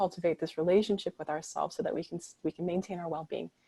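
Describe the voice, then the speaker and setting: A soft-spoken woman with a fairly low pitch, in a dry, close sound with no echo. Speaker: meditation guide. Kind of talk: guided meditation.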